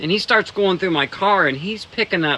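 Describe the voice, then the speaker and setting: Over noticeable background noise, a man uses a raised, projected voice at a high pitch. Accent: American. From Ohio, US Midwest. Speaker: streamer. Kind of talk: casual chat. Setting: outdoors. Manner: laid-back, halting.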